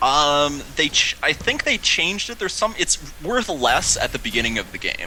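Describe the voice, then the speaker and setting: Animated delivery with an American accent, a moderate pace and noticeable background noise. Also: man. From US Midwest, Chicago. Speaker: esports shoutcaster. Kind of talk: live commentary. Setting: live stream.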